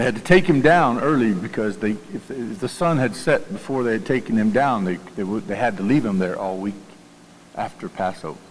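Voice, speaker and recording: Fairly quick speech from a man with a Southern US accent, medium in pitch with very wide pitch swings, plus noticeable background noise and audible room echo. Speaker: pastor. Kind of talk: sermon. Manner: halting.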